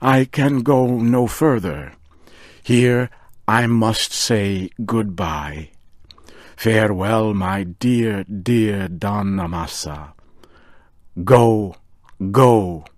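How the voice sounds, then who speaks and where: Speaking very slowly with long, frequent pauses, a man uses a put-on character voice at a fairly low pitch. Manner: excited, emotional.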